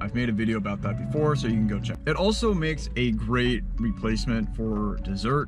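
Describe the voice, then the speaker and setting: The speech moves at a fairly quick pace with clear music in the background. The sound is dry with no echo. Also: man. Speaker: food vlogger. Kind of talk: casual vlog chat. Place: car. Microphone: phone near.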